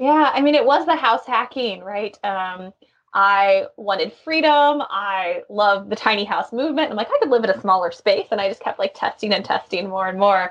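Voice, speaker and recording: With an ordinary speaking voice at a medium pitch, a woman talks at a moderate pace with lively intonation and hardly any pauses. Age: 30s. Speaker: Airbnb host and marketing business owner. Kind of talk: interview.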